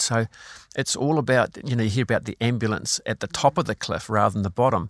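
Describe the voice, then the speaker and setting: A man speaks with a New Zealand accent at a medium pitch with ordinary pitch variation. The recording is very clean with a silent background and a dry, close sound with no echo. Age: 60s. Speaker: former police crisis negotiator, well-being speaker. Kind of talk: interview.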